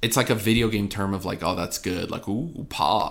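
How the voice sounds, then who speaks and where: On a very clean recording with a silent background, a man speaks at a fairly quick pace in a plain, everyday voice, with a fairly low pitch and ordinary pitch variation. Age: 20s. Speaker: podcast co-host and streamer. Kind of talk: casual chat.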